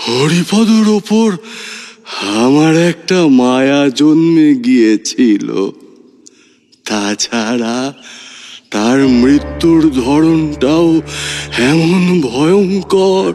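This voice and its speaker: A man's put-on character voice, fairly high in pitch, at a very slow pace with lively intonation. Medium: audio drama. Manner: slow, gentle, measured.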